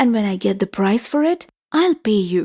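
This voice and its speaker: A woman's put-on character voice at a fairly high pitch, very wide pitch swings, very even loudness, and a moderate pace, with dry, close sound and no echo. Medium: read story. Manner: pleading.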